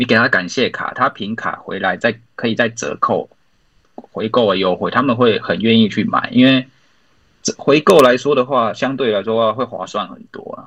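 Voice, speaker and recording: A man with a Taiwanese accent at a moderate pace, with big swings in loudness. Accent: Taiwanese Mandarin. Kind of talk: podcast interview.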